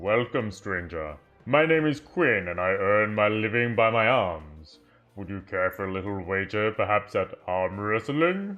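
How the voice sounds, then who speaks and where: A man speaks in a put-on character voice at a fairly low pitch and a moderate pace. Faint music plays in the background. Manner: friendly, welcoming.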